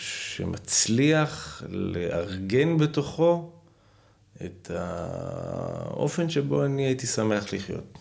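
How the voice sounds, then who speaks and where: His pitch swings very widely. The voice belongs to a man. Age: 30s. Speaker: history graduate student. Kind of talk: casual chat.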